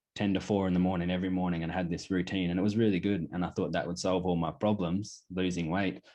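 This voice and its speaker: Against a quiet background, a man with an Australian accent speaks at a very fast pace. His voice is very deep and low, with monotone, flat intonation. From Australia, Queensland (Pittsworth). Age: 20s. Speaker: clothing brand founder. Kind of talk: casual interview.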